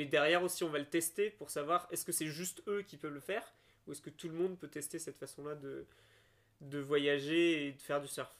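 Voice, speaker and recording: Using a normal speaking voice, a man talks at a fairly quick pace with fairly even intonation and fairly high pitch, while his loudness swings widely. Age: 20s. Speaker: landscape designer and podcast co-host. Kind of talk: casual chat.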